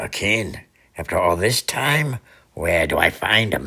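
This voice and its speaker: Putting on a cartoonish character voice, a man speaks fairly slowly at a medium pitch, raspy and with very wide pitch swings. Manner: gruff.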